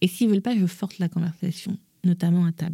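A woman's somewhat breathy, dark, mellow tone at a moderate pace, with fairly even intonation and a dry, close sound with no echo. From Gabon. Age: 40s. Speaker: image consultant. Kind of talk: casual chat.

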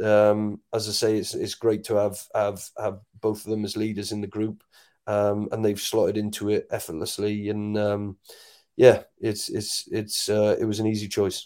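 A man with a Welsh accent speaks at a moderate pace in a fairly low, dark and mellow voice, his intonation flat and monotone, on a very clean recording with a silent background. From Wales. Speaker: rugby sevens coach. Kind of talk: interview. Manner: halting, many repeated words.

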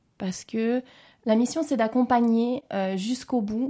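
A woman's fairly high voice in a dark, mellow tone, with fairly even intonation, on a very clean recording against a silent background. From French-speaking Switzerland, Geneva area. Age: 40s. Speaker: intensive care nurse. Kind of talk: interview testimony.

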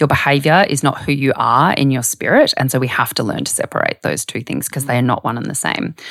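The speech moves at a moderate pace in an Australian accent. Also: woman. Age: 30s. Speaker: health journalist and author. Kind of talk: casual interview chat.

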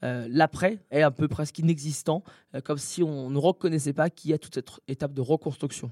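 A man's dark, mellow tone comes through dry and close with no echo, his loudness swinging widely while his pitch varies in an ordinary way. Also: fairly high pitch for a man. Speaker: anti-bullying association founder. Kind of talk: interview. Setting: hotel room.

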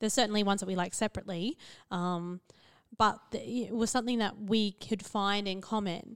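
A woman with an Australian accent speaks at a fairly quick pace in a medium pitch with fairly even intonation. The recording is very clean and dry, with a silent background, close sound and no echo. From central Queensland, Australia. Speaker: podcast co-host, psychologist. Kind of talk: casual chat.

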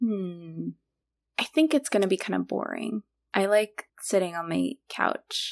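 A woman with a plain, everyday voice at medium pitch, lively intonation and a fairly slow pace, in a dry, close sound with no echo. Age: 20s. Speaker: podcast host, surgery resident. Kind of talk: casual chat.

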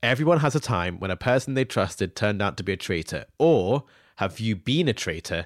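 A fairly quick voice with a British accent and very wide pitch swings, dry and close with no echo, in a very clean recording with a silent background. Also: man, fairly low pitch for a man. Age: 20s. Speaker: podcast co-host, former baking show contestant. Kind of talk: casual chat; reading listener mail aloud.

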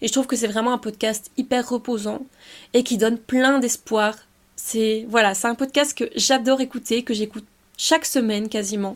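A woman with a fairly high pitch talks at a moderate pace. Her intonation stays fairly even. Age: 20s. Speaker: podcast host, student. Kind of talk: casual solo podcast talk.

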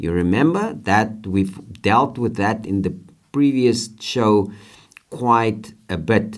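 With a fairly low pitch and ordinary pitch variation, a man speaks at a very slow pace. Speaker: podcast host and motivational teacher. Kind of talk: motivational talk with co-host. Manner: animated.

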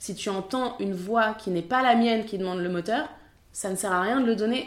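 A woman in an unremarkable speaking voice talks fairly quickly at a fairly high pitch with fairly even intonation. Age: 30s. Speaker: film assistant director. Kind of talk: interview.

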